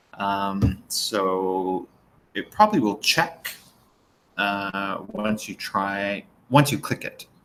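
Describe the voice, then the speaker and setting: A man with a fairly low voice talks at a very slow pace, with ordinary pitch variation and long, frequent pauses. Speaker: video tutorial maker. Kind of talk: tutorial; casual explanation. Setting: livestream screen share.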